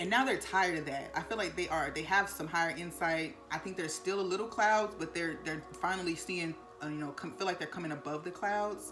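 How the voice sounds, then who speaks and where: A woman speaks at a fairly quick pace with hardly any pauses, her voice fairly low with ordinary pitch variation, over music in the background and audible room echo. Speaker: tarot card reader. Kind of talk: tarot reading to camera. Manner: fast.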